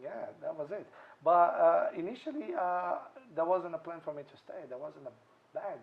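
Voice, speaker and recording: Fairly quick male speech in a Brazilian accent, fairly high in pitch with ordinary pitch variation. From Brazil, Santos. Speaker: restaurateur. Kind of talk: interview. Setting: restaurant. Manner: hesitant, many fillers.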